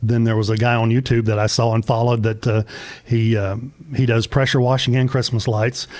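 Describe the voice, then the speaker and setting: A man with a Southern US accent speaks at a medium pitch. His intonation is monotone and flat, and his loudness stays very even. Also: fairly quick pace. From US South, Middle Tennessee. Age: 60s. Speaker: small business owner. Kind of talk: interview. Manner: halting.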